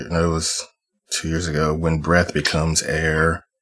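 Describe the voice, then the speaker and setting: A man speaks in a very deep, low voice with a flat, monotone delivery. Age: 30s. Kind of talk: casual chat.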